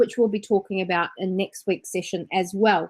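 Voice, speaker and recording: A woman with a New Zealand accent at a fairly quick pace, in a dry, close sound with no echo. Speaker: business trainer and entrepreneur. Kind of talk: webinar presentation. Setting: online webinar.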